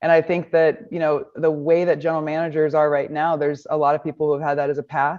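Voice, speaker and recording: At a fairly quick pace, a woman with a Midwestern US accent and a very deep, low pitch speaks in a monotone, flat intonation over a quiet background. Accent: US Midwest. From Nebraska. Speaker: baseball coach. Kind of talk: press conference. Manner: confident.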